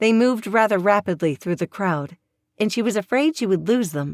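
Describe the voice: A quiet background behind plain reading aloud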